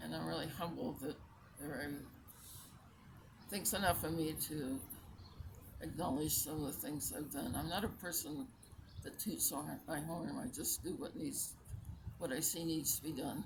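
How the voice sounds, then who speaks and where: A woman with a very deep, low pitch and vocal fry speaks at a moderate pace with lively intonation. Long, frequent pauses break up her speech, and the room echo is audible. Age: 80s+. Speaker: retired teacher and community volunteer. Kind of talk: interview. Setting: outdoors in a park.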